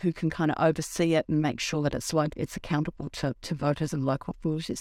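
A woman with a New Zealand accent at a very fast pace, in a very clean recording with a silent background and a dry, close sound with no echo. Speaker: podcast host. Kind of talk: casual political discussion.

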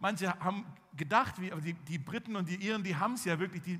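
A fairly quick pace with ordinary pitch variation and audible room echo. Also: man. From Swabia, Germany (village near Tübingen). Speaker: pastor. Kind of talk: sermon. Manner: hesitant with fillers.

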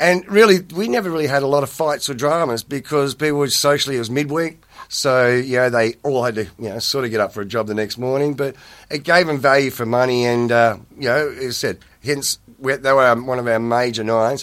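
Talking at a fairly quick pace, a man with an Australian accent uses a medium pitch and ordinary pitch variation. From Australia, New South Wales (Parkes, then Penrith). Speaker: former nightclub owner. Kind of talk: interview. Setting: studio. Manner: halting, many fillers and repetitions.

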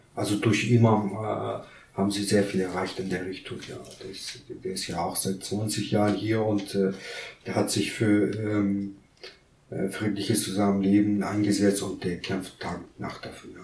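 Audible room echo surrounds a man speaking fairly slowly in a fairly low pitch, with monotone, flat intonation and big swings in loudness. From Kurdistan. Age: 30s. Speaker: migrant council member, business lawyer. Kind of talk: interview.

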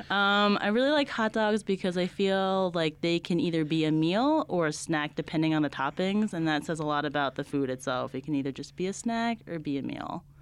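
In a very clean recording with a silent background, a woman with an American accent uses a plain, everyday voice, fairly low in pitch, at a fairly quick pace with hardly any pauses and lively intonation. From New Jersey, suburb near New York City. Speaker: nonprofit operations coordinator. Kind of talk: interview.

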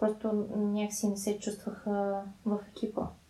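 A woman talks at a moderate pace in a medium pitch. She has a normal speaking voice. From Bulgaria, Sofia. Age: 20s. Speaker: podcast co-host. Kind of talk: casual chat.

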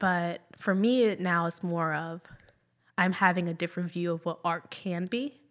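In a very clean recording with a silent background, a woman with a plain, everyday voice speaks at a moderate pace with a fairly low pitch and fairly even intonation. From Jacksonville, Florida, US (Puerto Rican parents). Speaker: dancer and painter. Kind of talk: interview.

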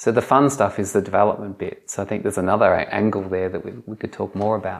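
In an Australian accent, a woman with a very deep, low voice speaks very fast with fairly even intonation. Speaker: entrepreneur. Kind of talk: podcast interview.

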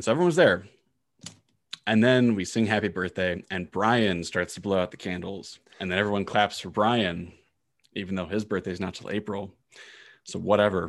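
A man's fairly low voice with an American accent, fairly even intonation, a moderate pace, long and frequent pauses, and a quiet background. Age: 20s. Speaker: podcast co-host. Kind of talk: casual religious discussion podcast.

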